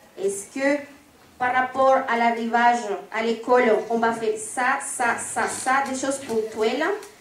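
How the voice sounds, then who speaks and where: A woman with a Spanish accent speaks fairly slowly in a high, monotone, flat voice. Noticeable background noise and audible room echo fill the recording. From Colombia. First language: Spanish (speaking French). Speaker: parent association member, audience member. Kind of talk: public Q&A question. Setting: public meeting hall with audience, wireless mic.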